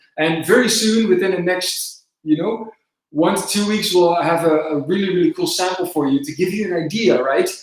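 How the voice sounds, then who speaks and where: A man in a Dutch accent speaks with a high pitch and ordinary pitch variation. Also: moderate pace. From southern Netherlands. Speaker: company presenter. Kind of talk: live webinar Q&A. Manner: hesitant, many filler words.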